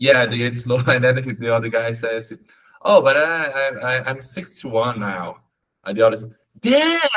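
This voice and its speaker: A man with a Portuguese accent speaks at medium pitch and a moderate pace, his intonation fairly even and his pauses long and frequent. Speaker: English learner. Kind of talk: conversational English lesson. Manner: halting.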